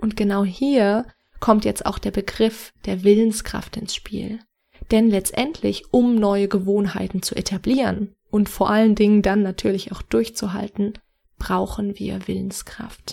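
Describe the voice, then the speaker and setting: This woman has a dark, mellow, somewhat breathy tone at medium pitch, speaking at a fairly slow pace with monotone, flat intonation. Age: 20s. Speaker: podcast host, personal development coach. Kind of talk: solo podcast monologue, advice.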